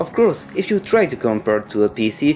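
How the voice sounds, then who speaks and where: With music in the background, a man with a non-native accent talks at a moderate pace and with lively intonation. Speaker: video game reviewer. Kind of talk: video game review narration.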